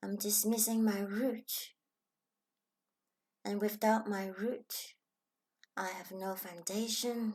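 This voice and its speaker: Speaking very slowly with long, frequent pauses, a woman with a Chinese accent keeps a medium pitch and monotone, flat intonation. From Hong Kong. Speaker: spiritual self-help vlogger. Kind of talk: reflective personal vlog talk.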